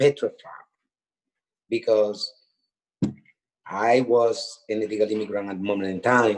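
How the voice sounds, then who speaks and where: The speaker has a Spanish accent and a flat, monotone delivery, moving at a fairly slow pace with long, frequent pauses. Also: man. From Honduras. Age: 40s. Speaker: death row exoneree. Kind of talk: testimony.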